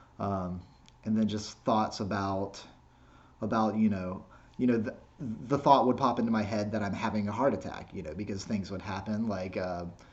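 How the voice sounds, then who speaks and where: A man speaks with fairly even intonation and long, frequent pauses, with audible room echo. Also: moderate pace. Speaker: skateboarding vlogger. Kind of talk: casual vlog monologue. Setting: self-recorded video. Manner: halting, repeats words.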